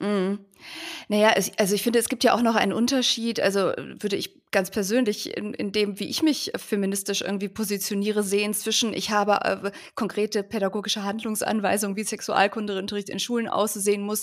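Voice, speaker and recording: A woman of medium pitch, fairly quick, in a monotone with flat intonation. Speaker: podcast co-host. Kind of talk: interview conversation.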